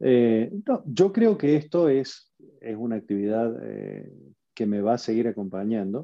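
Speaking at a fairly slow pace, a man with a medium pitch uses lively intonation. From Argentina. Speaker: passive investor, tech entrepreneur. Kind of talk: interview.

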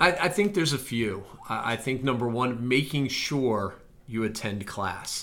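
In a normal speaking voice, a man talks at a fairly slow pace with lively intonation and a medium pitch. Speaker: admissions officer podcast host. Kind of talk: casual chat.

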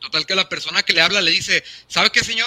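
A man speaks with a Mexican accent. His pace is fairly quick. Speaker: podcast host. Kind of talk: interview.

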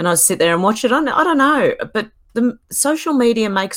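Female voice at a fairly high pitch, with very wide pitch swings and a fairly quick pace. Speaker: online video creator. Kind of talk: casual chat. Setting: video call.

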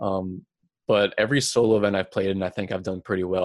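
With a New York accent, this man speaks very fast in a fairly low, flat monotone, the sound dry and close with no echo. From Long Island, New York. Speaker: professional gamer. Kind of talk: interview. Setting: home basement on extension cord.

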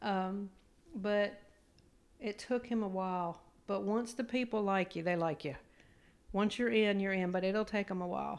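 A woman with an American accent talks at a moderate pace, her pitch medium and her intonation fairly even. Long, frequent pauses break up her speech. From Maryland, Smith Island area. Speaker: host's mother. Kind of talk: casual chat. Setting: at home on the couch.

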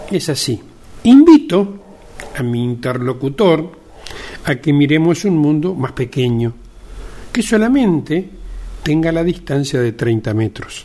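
Over noticeable background noise, a man with a fairly high pitch speaks very slowly, with long, frequent pauses. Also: lively intonation. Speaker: podcast host, media journalist. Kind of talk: opinion monologue. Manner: conversational, with fillers.

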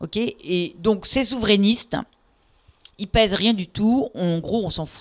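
A woman speaks very slowly at a medium pitch with ordinary pitch variation. The sound is dry and close, with no echo. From France, Paris region. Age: 50s. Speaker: law professor. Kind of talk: casual interview.

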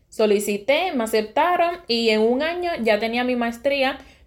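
Speaking with a Puerto Rican accent, a woman uses a fairly high pitch and lively intonation at a fairly slow pace. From Puerto Rico, west (Sabana Grande). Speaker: podcast host, university professor. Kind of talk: solo monologue, personal story.

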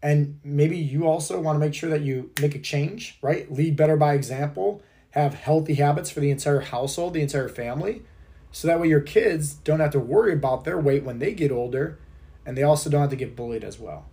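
The man's voice is fairly high, somewhat breathy and dark and mellow in tone. He talks at a fairly quick pace. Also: ordinary pitch variation. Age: 30s. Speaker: fitness and health coach, podcast host. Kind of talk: motivational monologue. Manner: energetic, emphatic.

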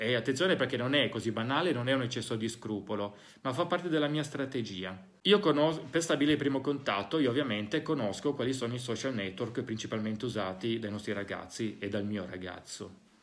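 A normal speaking voice goes at a fairly quick pace with ordinary pitch variation. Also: man, medium pitch for a man. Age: 40s. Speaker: psychologist and podcast host. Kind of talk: talk to parents (recorded live session). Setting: school (recorded live session).

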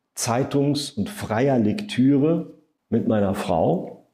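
A man's voice, dark and mellow in tone, moves with ordinary pitch variation. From Saarland, Germany. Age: 50s. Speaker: state environment minister. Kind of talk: podcast interview.

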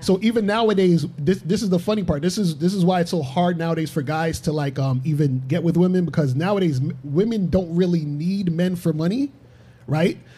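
With a New York accent and a dark, mellow tone, this speaker talks at a fairly quick pace with ordinary pitch variation. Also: man, high pitch for a man. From Brooklyn, New York. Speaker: relationship coach. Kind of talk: panel discussion. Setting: studio.

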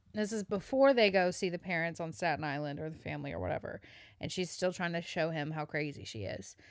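In a very clean recording with a silent background, a woman with a Southern US accent talks very fast in an animated tone, her fairly low voice showing vocal fry and lively intonation. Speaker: podcast co-host. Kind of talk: casual banter. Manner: laughing, animated.

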